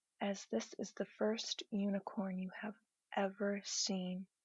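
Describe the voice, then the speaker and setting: A woman talks very slowly in a flat monotone, her somewhat breathy voice recorded dry and close with no echo. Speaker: guided imagery narrator. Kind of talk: guided imagery sleep story.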